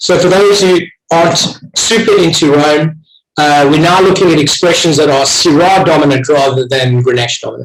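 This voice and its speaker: A man with a South African accent speaks at a moderate pace, his pitch fairly high with ordinary variation. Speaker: wine tasting host. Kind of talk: online wine tasting.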